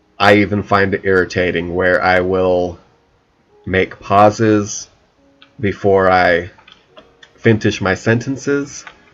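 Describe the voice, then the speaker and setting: Over background music, a man with a fairly low voice speaks very slowly. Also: long, frequent pauses. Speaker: gaming YouTuber. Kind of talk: let's play commentary. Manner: many pauses and silences; halting.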